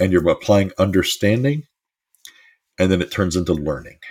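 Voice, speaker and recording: A man with a very deep, low, somewhat breathy voice talks at a moderate pace with lively intonation. The recording is very clean, with a silent background. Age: 50s. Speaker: life coach podcast host. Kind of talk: motivational monologue.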